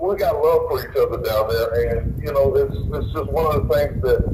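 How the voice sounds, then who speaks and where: Someone talks in a Louisiana accent over noticeable background noise, with audible echo from the room. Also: man. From Louisiana, Baton Rouge. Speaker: pretrial detainee calling in. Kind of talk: phone call-in talk. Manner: halting, repeats words.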